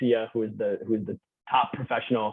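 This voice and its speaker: A man speaks at a medium pitch with an American accent. His delivery is very fast. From New York. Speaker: university admissions operations manager. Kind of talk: webinar presentation. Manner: halting, many fillers.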